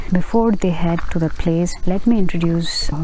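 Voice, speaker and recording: A soft-spoken woman with a Bengali accent talks at a fairly low pitch and a moderate pace, with fairly even intonation. Audible room echo and noticeable background noise surround her voice. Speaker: travel vlogger. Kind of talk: vlog narration. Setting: outdoors at night. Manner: soft-spoken, low volume.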